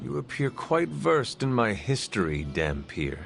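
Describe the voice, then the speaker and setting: A man's put-on character voice, very deep and low in pitch, at a moderate pace over clear background noise. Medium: video game. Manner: formal, solemn.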